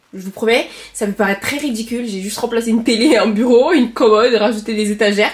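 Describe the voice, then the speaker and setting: Noticeable background noise sits behind a woman with a fairly high voice. She speaks very fast with fairly even intonation. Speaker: lifestyle vlogger. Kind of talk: casual vlog talk to camera. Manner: hesitant fillers.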